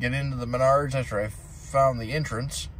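Light background noise, a dry sound with no echo, and a man speaking at a moderate pace. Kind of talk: casual vlog chat. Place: car. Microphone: phone near.

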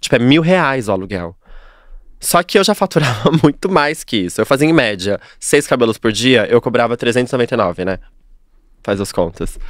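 Against a quiet background, a man speaks at a moderate pace with very wide pitch swings and long, frequent pauses. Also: medium pitch for a man, dry sound with no echo. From São Paulo, Capão Redondo; São Paulo. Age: 30s. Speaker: hairdresser; podcast guest. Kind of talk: casual interview chat. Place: studio. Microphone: studio mic.

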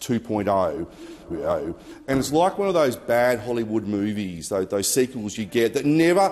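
This man's pitch swings very widely. He keeps a moderate pace. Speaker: senator. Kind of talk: parliamentary speech. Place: hall. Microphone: podium.

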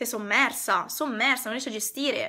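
A woman speaks with a bright, sharp tone and ordinary pitch variation. Her tone is animated. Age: 20s. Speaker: decluttering consultant. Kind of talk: live stream talk to viewers. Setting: online live stream. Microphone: phone near.

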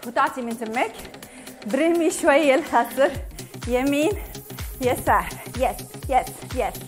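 A woman's high pitch with ordinary pitch variation, very slow pace, music in the background. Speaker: fitness instructor. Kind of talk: workout instruction with counting. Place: home room.

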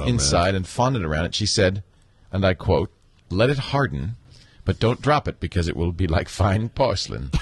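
A man with a very deep, low pitch talks at a moderate pace with lively intonation. Music plays in the background, and the sound is dry and close with no echo. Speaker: podcast host. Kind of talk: casual banter in live podcast pre-show. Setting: live studio broadcast.

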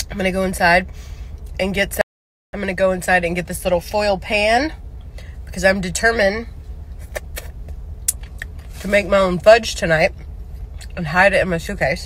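At a moderate pace, a woman speaks with fairly even intonation and long, frequent pauses, and the sound is dry with no echo. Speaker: vlogger. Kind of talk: casual vlog chat. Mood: relaxed, chatty. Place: car. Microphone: phone near.

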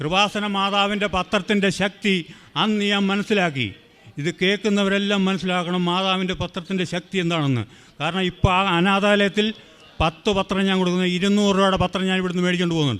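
A man talks with a high pitch. His intonation stays fairly even. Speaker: churchgoer giving testimony. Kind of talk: testimony.

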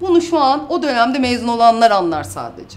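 The tone is animated, with very wide pitch swings. The pace is very fast. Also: woman. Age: 30s. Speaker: YouTuber and mother; YouTuber. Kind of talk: casual vlog, reading out and answering comments. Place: office.

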